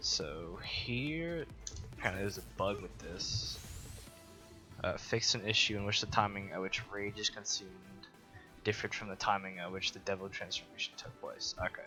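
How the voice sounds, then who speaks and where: A man speaks with music playing in the background. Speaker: fighting game guide maker. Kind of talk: gameplay tutorial commentary. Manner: halting, stuttering.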